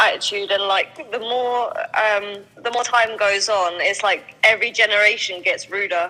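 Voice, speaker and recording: A woman speaks with a southern English accent and ordinary pitch variation. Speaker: guest on dating livestream. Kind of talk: casual chat.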